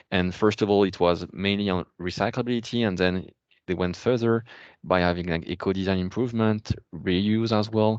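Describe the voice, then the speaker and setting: In a French accent, a man speaks at a fairly low pitch with fairly even intonation against a quiet background. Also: moderate pace. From France. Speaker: policy expert. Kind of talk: webinar Q&A answer. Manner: halting, many fillers.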